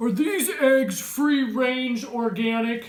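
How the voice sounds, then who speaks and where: A woman uses a gruff, high-pitched put-on character voice at a very slow pace. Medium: read story. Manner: gruff, grumpy.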